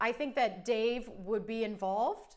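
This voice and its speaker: In a Cleveland accent, a woman speaks at a fairly high pitch and a moderate pace. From US Midwest, Cleveland, Ohio. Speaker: cake artist and channel host. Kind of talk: live stream Q&A chat. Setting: live stream. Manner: casual, with many fillers.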